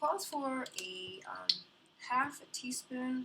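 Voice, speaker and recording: A woman mumbles with very wide pitch swings. Noticeable background noise sits behind her. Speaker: home baker teaching a recipe. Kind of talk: cooking tutorial. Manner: mumbling; casual, hesitant with many ums.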